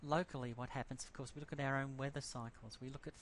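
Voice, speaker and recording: The speaker has an Australian accent. Intonation stays fairly even. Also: man. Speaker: university lecturer. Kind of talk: lecture. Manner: fast; halting, many fillers.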